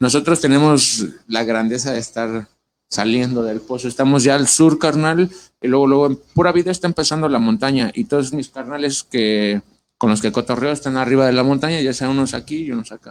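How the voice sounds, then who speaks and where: A man speaks in a plain, everyday voice at a fairly quick pace, medium in pitch with ordinary pitch variation. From Ecatepec, State of Mexico. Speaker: tattoo artist. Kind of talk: casual interview. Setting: livestream in host's home.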